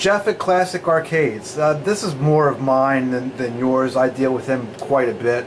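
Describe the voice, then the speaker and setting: A man talks with ordinary pitch variation as noticeable background noise carries on behind him. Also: medium pitch for a man, moderate pace, hardly any pauses. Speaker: pinball repair technician. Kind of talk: casual chat.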